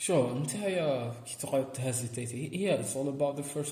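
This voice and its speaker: With audible room echo, a man speaks at a moderate pace and a medium pitch. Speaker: podcast co-host. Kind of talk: casual chat.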